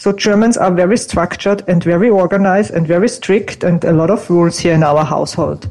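A woman with a fairly low pitch and ordinary pitch variation talks at a fairly quick pace and very even loudness over noticeable background noise. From Austria. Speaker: image consultant. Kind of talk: interview. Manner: animated.

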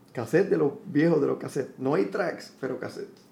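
A man talks in a fairly high voice. He has a Puerto Rican accent. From Puerto Rico. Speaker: musician. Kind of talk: interview. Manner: halting, frequent repetitions.

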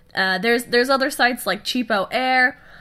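A woman speaks at a fairly slow pace in a fairly high, nasal voice, bright and sharp yet clear and smooth, with ordinary pitch variation.

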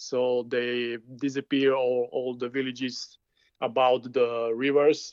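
A man speaks with a Slovak accent at a fairly slow pace. The sound is dry and close, with no echo. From eastern Slovakia, Michalovce area. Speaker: filmmaker. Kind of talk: interview.

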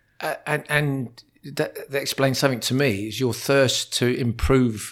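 At a fairly slow pace, a man speaks in a normal speaking voice with a medium pitch and ordinary pitch variation. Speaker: educator acting as interviewer. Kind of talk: casual interview conversation.

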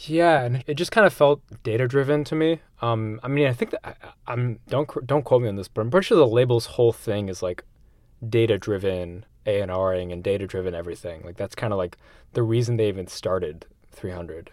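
A man with a plain, everyday voice speaks at a medium pitch and a fairly quick pace, with big swings in loudness on a very clean recording with a silent background. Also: lively intonation. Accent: American. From US Northeast (central Massachusetts). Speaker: music writer and audio producer. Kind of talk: casual interview.

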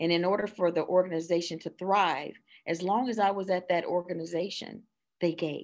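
The recording is very clean, with a silent background. A woman with an ordinary speaking voice talks at medium pitch and a moderate pace. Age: 50s. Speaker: children's book author. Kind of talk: casual interview chat.

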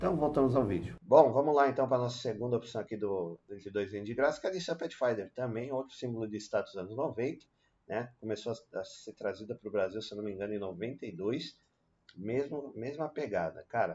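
The tone is dark and mellow, with lively intonation. Delivery comes at a moderate pace. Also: man, medium pitch for a man. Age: 40s. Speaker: car youtuber. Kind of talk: casual video commentary. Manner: casual with many fillers.

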